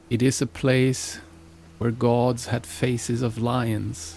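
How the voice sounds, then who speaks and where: A man at medium pitch, speaking at a very slow pace, with music in the background. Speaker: singer and shamanic practitioner. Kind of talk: podcast narration on myth and music. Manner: slow, deliberate.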